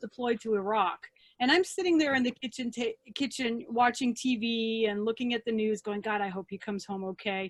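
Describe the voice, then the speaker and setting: With an American accent, a woman speaks in a high voice at a moderate pace, the sound dry and close with no echo. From grew up overseas as a US military child, Germany. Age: 50s. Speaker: museum founder. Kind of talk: interview.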